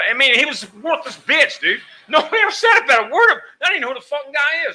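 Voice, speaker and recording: A man's raised, projected voice with an American accent, bright and sharp in tone, animated, with very wide pitch swings at a very fast pace. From New Mexico, US. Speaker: pool hall owner. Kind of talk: casual chat.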